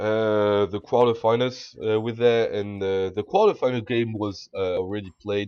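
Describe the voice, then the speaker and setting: A man's fairly low, flat monotone at a moderate pace with hardly any pauses. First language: French. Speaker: video game commentator. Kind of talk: gameplay commentary. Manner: halting.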